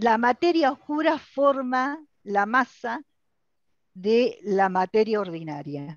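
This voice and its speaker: Very wide pitch swings come at a very slow pace, with a dry, close sound and no echo. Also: woman, fairly high pitch for a woman. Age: 60s. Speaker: lecturer. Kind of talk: lecture. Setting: video call.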